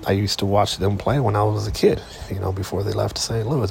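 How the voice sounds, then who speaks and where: This man talks at a fairly quick pace with a fairly low pitch and ordinary pitch variation. Noticeable background noise runs behind him. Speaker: sports podcast host. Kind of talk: casual solo monologue. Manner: halting, many fillers.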